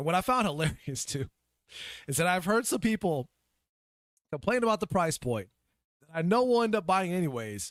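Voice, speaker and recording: The speaker uses very wide pitch swings and an animated tone at a fairly quick pace, with long, frequent pauses. The sound is dry and close with no echo, on a very clean recording with a silent background. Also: man. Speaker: gaming podcast host. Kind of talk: casual livestream podcast rant. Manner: animated, ranting; halting, repeats words.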